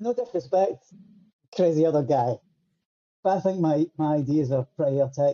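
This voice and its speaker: In a Scottish accent, a man speaks at a fairly high pitch and a moderate pace, with lively intonation and very even loudness. Long pauses come often. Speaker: musician. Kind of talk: casual chat. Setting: video call.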